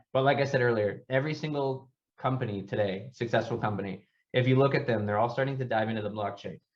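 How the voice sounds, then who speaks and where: A man talks at a very fast pace in a somewhat breathy voice, his medium pitch following fairly even intonation. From US East Coast. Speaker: startup founder. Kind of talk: workshop presentation.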